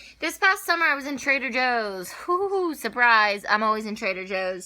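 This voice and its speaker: A woman speaks loudly at a high pitch in a bright, sharp, animated tone. Her pitch swings very widely at a moderate pace. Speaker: lifestyle vlogger. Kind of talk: casual vlog talk.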